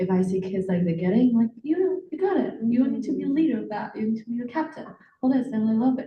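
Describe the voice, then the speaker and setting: Loud and very fast, the voice swings very widely in pitch. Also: woman, fairly high pitch for a woman. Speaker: teacher. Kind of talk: panel discussion.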